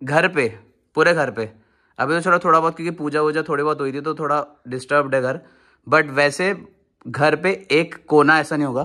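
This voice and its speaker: On a very clean recording with a silent background, a fairly high-pitched man speaks at a moderate pace with fairly even intonation and long, frequent pauses. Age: 20s. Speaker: vlogger. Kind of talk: casual vlog narration.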